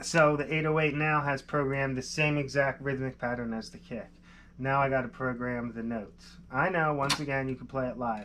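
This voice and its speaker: Over light background noise, a man with a Philadelphia accent speaks at a fairly quick pace with fairly even intonation. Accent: Delaware County, Pennsylvania. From Pennsylvania. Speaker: music producer. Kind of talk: live-stream tutorial. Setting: live stream. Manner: casual, thinking aloud. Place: studio.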